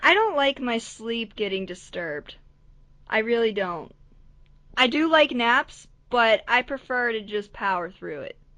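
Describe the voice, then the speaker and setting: Her fairly high pitch, bright and sharp tone, and lively intonation come with big swings in loudness as this woman speaks. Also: quiet background. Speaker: podcast co-host. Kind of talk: casual chat. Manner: rambling.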